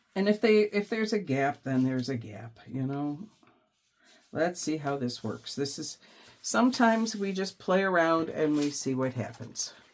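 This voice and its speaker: A woman speaks with a very deep, low pitch. Her pitch swings very widely at a moderate pace. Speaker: junk journal crafter. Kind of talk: craft tutorial talk to camera.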